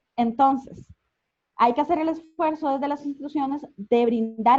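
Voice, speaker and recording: This woman has a high voice and a Costa Rican accent. Her intonation is lively. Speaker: communicator and invited speaker. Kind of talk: online conference talk. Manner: fast; animated.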